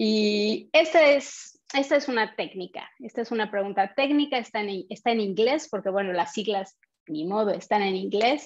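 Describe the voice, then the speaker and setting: Against a quiet background, a woman talks at a moderate pace with a fairly high pitch and lively intonation. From Mexico. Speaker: community manager; presenter. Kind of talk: online meetup hosting and quiz. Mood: friendly, upbeat. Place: home room. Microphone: webcam.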